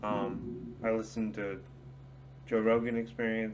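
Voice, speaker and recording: A man with a fairly low pitch speaks at a very slow pace with lively intonation. There is audible room echo. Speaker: small youtuber giving opinions. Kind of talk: casual rant to camera. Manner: slurred, drunken-sounding speech; hesitant, many fillers.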